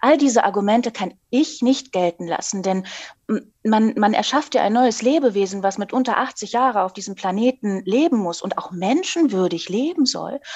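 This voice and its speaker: A woman talks in a normal speaking voice, fairly high in pitch. Her intonation is lively and her pace moderate. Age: 40s. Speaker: author. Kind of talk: interview.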